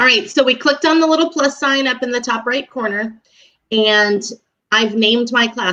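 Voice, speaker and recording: In a raised, projected voice, a woman speaks with a high pitch and a bright, sharp tone. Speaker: elementary school teacher. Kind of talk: tutorial. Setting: online live broadcast.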